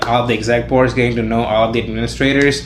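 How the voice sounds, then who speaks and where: A man's medium-pitched voice, with noticeable background noise and audible room echo. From India. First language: Indian language, not English. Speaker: college student. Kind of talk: podcast interview. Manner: casual, many filler words.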